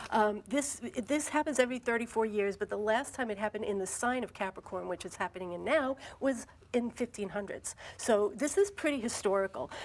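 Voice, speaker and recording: The woman's fairly high pitch shows ordinary pitch variation, and her pace is fairly quick. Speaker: astrologer. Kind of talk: TV interview. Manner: fast.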